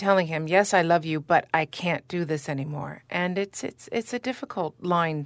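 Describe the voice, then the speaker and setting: A woman with an American accent and a plain, everyday voice speaks at a moderate pace. Her pitch is fairly low with ordinary variation, on a very clean recording with a silent background. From Chicago. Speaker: opera singer. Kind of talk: casual interview.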